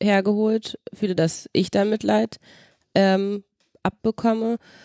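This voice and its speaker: A woman talks at a very slow pace. The recording is very clean with a silent background, and the sound is dry and close, with no echo. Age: 20s. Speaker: daughter of a wheelchair user. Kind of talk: casual chat.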